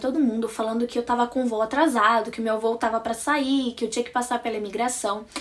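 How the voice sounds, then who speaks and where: With noticeable background noise, a woman with a high pitch speaks at a very fast pace in an animated tone. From Brazil. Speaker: vlogger. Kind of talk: casual storytelling vlog.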